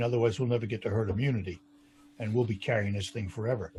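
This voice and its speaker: Intonation stays fairly even while the voice carries a somewhat breathy quality. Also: man. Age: 70s. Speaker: radio talk show host. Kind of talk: interview.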